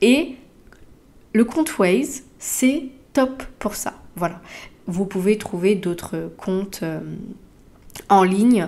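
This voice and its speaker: Speaking at a very slow pace with long, frequent pauses, a woman keeps to a medium pitch. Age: 30s. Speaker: podcaster. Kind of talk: solo podcast monologue. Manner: halting with many fillers.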